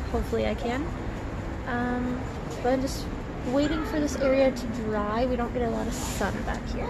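A woman is speaking. Loud background noise sits behind her. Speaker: parent vlogger. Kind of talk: casual vlog chat. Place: garden. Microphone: phone near.

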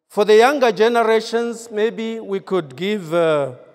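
A man's voice over a quiet background. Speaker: preacher. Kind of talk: sermon. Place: church. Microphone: handheld.

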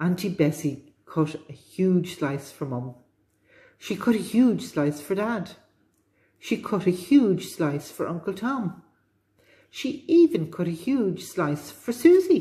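A woman speaks very slowly in a dark, mellow, somewhat breathy tone. Her pitch swings very widely. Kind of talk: children's storytelling read-aloud. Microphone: phone near.

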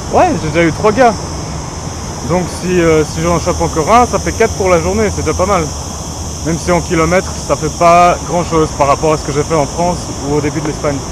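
A man talks at a fairly quick pace in a dry recording with no echo and noticeable background noise. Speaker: hitchhiking travel vlogger. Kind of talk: casual vlog chat. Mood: relaxed, mildly upbeat. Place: street. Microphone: phone near.

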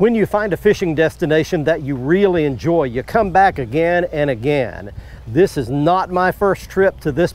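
A man with a fairly high pitch speaks at a moderate pace with lively intonation and hardly any pauses, the sound dry with no echo. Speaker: fishing show host. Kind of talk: TV show intro to camera. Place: waterside. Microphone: lapel.

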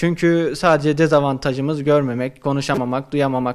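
Against a quiet background, a man talks at a moderate pace. His fairly high voice stays flat and monotone. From Turkey, Kayseri; Turkey. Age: 20s. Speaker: university student; interviewee. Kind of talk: interview. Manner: halting, many fillers. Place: office. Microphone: handheld.

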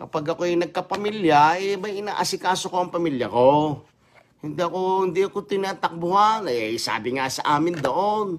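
A man's high-pitched voice at a moderate pace, with ordinary pitch variation and light background noise. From Batangas, Philippines; Philippines. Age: 60s. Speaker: vlogger. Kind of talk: angry livestream rant. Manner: animated. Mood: boastful, defiant. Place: home room. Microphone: phone near.

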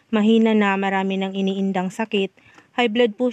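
In a dry, close sound with no echo, a woman speaks at a fairly quick pace with monotone, flat intonation. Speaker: community helper recommending aid recipients. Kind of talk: on-site vlog narration.

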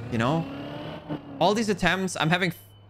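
A man with a German accent, amid noticeable background noise. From Belgium, German-speaking part. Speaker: video game streamer. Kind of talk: live gameplay stream commentary. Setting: live stream talking to chat. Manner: animated.

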